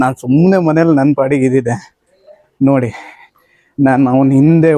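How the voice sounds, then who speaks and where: A fairly high male voice, dark and mellow in tone, with fairly even intonation. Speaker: travel vlogger. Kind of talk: vlog narration. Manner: casual, conversational.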